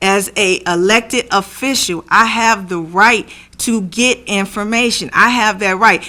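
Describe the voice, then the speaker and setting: A woman speaks at a medium pitch with a bright, sharp tone. Her pace is fairly slow and her pitch variation ordinary. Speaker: school board member. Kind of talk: board meeting discussion.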